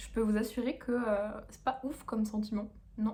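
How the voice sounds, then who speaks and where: With audible room echo, a woman speaks at a moderate pace in a fairly high, monotone, flat voice. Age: 20s. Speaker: dietitian vlogger. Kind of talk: casual vlog talk. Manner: hesitant, many fillers.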